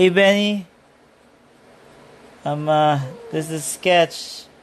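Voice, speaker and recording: Speech at a very slow pace with fairly even intonation is heard over noticeable background noise. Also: man, high pitch for a man. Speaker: artist sketching on livestream. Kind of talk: casual chat while drawing. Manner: quiet.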